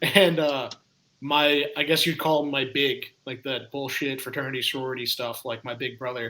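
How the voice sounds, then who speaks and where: The voice has an American accent and a bright, sharp tone. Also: man. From US South, Atlanta, Georgia. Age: 20s. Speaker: podcast guest. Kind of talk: casual chat, storytelling. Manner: animated.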